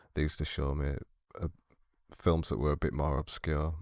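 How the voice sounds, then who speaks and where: In a British accent, a man speaks with a very deep, low pitch, vocal fry and fairly even intonation, in a dry, close recording with no echo. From Britain. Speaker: film student. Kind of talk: movie reaction commentary. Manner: subdued, monotone.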